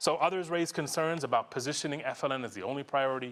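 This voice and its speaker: A medium-pitched man at a fairly quick pace, on a very clean recording with a silent background. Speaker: conference presenter, education researcher. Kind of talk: conference presentation. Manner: fast; animated.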